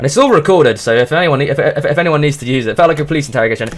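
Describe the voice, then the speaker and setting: A man with a British accent talks at a very fast pace. His pitch variation is ordinary. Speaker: streamer. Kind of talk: casual chat. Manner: stuttering; animated.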